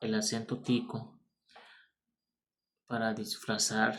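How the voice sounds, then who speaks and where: A man talks at a very slow pace and a medium pitch. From born in Nicaragua, grew up in Costa Rica (San Carlos). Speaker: vlogger. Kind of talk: personal storytelling monologue.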